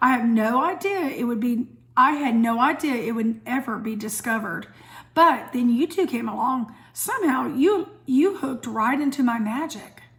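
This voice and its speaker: Using a put-on character voice, a woman speaks high and raspy at a moderate pace, her intonation lively and her tone calm and gentle. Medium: read story. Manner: calm, gentle.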